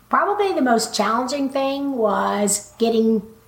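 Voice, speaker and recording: A woman with an American accent, over noticeable background noise. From Texas, Waco. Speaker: veterinarian. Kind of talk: interview.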